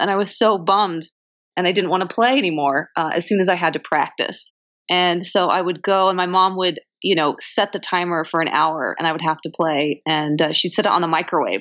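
Against a quiet background, a woman with an American accent and a fairly low pitch speaks at a fairly quick pace. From Southern California. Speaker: television writer. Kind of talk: interview.

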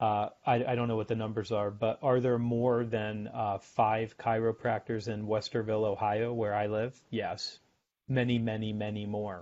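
A man's medium-pitched voice at a moderate pace, flat and monotone in intonation. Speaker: sales author and guest. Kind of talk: casual interview chat.

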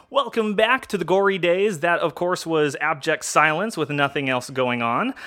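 Over noticeable background noise, a man with a high pitch talks at a moderate pace with hardly any pauses. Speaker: podcast host. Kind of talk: casual chat.

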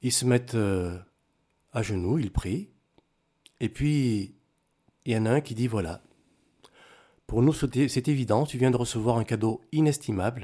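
A man speaks at a fairly slow pace, with long, frequent pauses and ordinary pitch variation. The recording is very clean, with a silent background. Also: medium pitch for a man. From Cameroon and Togo. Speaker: former footballer, airline pilot. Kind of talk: testimony. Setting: studio.

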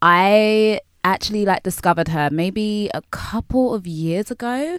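The recording is very clean, and the background is silent. This woman's intonation is lively. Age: 20s. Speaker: podcast host. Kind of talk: solo monologue to listeners; casual chat. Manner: animated.

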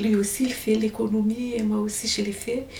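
Against noticeable background noise, a woman with a Malagasy accent speaks at a fairly high pitch. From Madagascar. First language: Malagasy (speaking French). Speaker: exile telling her story. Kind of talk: testimony. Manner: halting.

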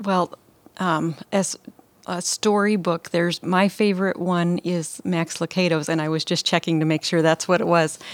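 A woman speaks in a fairly low, monotone voice with flat intonation. The sound is dry and close, with no echo. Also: moderate pace. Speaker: parenting advisor. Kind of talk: casual conversational interview. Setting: studio on couches. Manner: calm.

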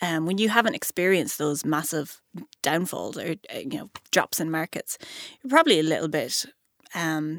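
A woman with an Irish accent, lively intonation and a fairly quick pace, in a dry, close sound with no echo. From Ireland. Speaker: podcast host and investment analyst. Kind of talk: casual interview chat.

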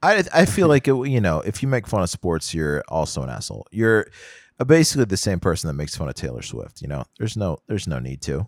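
A man talks very fast with a fairly low pitch, vocal fry and very wide pitch swings, the sound dry and close with no echo on a very clean recording with a silent background. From Houston, Texas. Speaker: podcast co-host. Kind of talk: casual chat.

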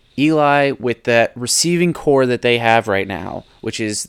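A man of medium pitch speaks at a moderate pace in a normal speaking voice with ordinary pitch variation, on a very clean recording with a silent background. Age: 20s. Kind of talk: casual chat.

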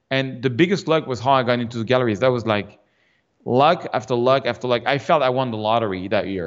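Someone with a French accent talks at a very fast pace with ordinary pitch variation over a quiet background. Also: man, medium pitch for a man. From France. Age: 50s. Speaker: fine art landscape photographer. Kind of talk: interview conversation. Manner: halting.

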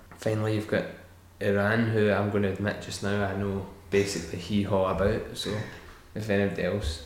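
With a Scottish accent and audible room echo, a man talks fairly quickly in a fairly low, monotone, flat voice. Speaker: podcast host. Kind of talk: casual chat.

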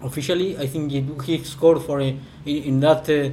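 Speaking in a monotone with a Spanish accent, a man uses a fairly high pitch and flat intonation. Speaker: football commentator. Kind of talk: casual podcast chat about football. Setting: home apartment recording. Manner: halting.

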